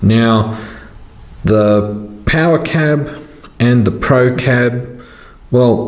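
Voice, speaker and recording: A man's medium-pitched voice with lively intonation, noticeable background noise and audible room echo. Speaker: model train hobbyist YouTuber. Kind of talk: tutorial Q&A. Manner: halting, many fillers.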